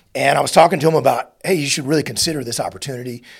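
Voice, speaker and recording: A somewhat breathy man at a very fast pace, with ordinary pitch variation. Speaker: podcast host and former SEAL leader. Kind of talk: interview conversation.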